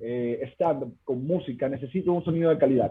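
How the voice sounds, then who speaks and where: A man speaks with lively intonation. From Venezuela. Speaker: stand-up comedian. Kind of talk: casual chat.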